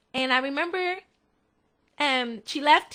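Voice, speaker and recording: A woman's high-pitched, raised, projected voice with lively intonation. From Puerto Rico. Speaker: pastor. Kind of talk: testimony. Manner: halting, with many fillers.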